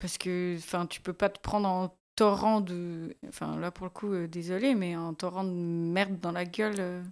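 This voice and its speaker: A woman with a plain, everyday voice, fairly low in pitch, at a fairly slow pace with hardly any pauses and fairly even intonation, in a very clean recording with a silent background. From Switzerland, Valais. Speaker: podcast host. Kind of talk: casual chat. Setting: radio studio.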